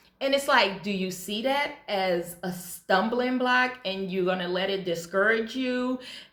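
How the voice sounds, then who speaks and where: At a fairly slow pace, a woman talks at medium pitch with ordinary pitch variation, with noticeable background noise and audible room echo. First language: Hebrew. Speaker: YouTuber. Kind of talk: motivational vlog talk.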